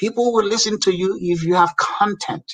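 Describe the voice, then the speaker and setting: This man's raised, projected voice sits high in pitch. His tone is animated and his intonation lively. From Nigeria. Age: 60s. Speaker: community leader. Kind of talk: casual chat.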